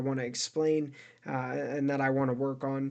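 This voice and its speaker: A man speaks at a moderate pace in a fairly high pitch, with a monotone, flat delivery over a quiet background. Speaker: solo video creator explaining a theory of consciousness. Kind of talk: casual explanatory monologue. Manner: halting, many fillers and repetitions.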